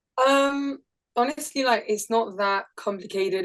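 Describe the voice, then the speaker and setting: A woman with a French accent speaks with fairly even intonation. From France. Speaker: indie musician. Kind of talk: interview.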